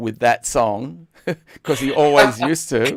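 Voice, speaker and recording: A man speaks with an Australian accent. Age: 60s. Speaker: online show host. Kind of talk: casual chat. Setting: live stream. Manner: halting.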